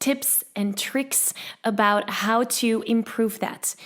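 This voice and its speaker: A woman with a non-native accent and fairly high pitch speaks at a very slow pace. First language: not English. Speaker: podcast host, singing coach. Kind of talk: recorded intro; podcast interview. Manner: animated.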